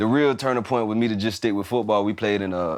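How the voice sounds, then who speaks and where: A man with a fairly low-pitched voice speaks against a quiet background. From Florida (Lakeland, Fort Myers, Tampa). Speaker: former college football player and business owner. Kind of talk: casual podcast interview.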